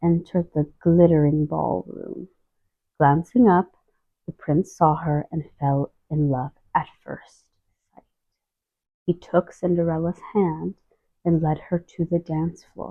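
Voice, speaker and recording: A soft-spoken woman with a fairly low pitch, a fairly slow pace, long, frequent pauses, fairly even intonation and big swings in loudness. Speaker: storybook reader. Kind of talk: reading aloud. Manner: gentle.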